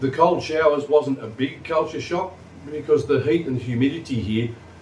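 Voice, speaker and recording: A man talks in a somewhat breathy voice. He has an Australian accent. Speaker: vlogger. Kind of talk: casual vlog talk. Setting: sitting on couch at home.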